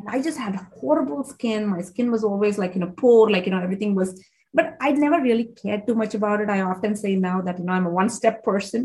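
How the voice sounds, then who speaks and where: The speech moves at a very fast pace with hardly any pauses. Its intonation is lively. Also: woman, medium pitch for a woman. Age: 40s. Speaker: naturopathic doctor, podcast host. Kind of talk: casual interview chat. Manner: animated.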